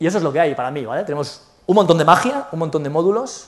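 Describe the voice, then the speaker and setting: The man's delivery moves fairly quickly. Echo from the room can be heard. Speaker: conference speaker, software developer. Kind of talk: conference talk with Q&A. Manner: fast.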